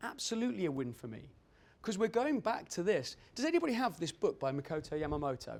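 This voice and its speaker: This man talks at a very fast pace, his pitch high. His voice makes very wide pitch swings. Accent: British. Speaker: dental lab owner and technician. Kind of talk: conference presentation.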